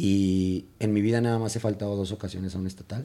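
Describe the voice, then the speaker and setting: A man with a Mexican accent has a fairly low pitch and a dark, mellow tone. He speaks at a moderate pace with ordinary pitch variation. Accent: Mexican Spanish (Jalisco). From Mexico, Guadalajara (Jalisco). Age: 30s. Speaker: escaramuza riding coach. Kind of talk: casual interview chat.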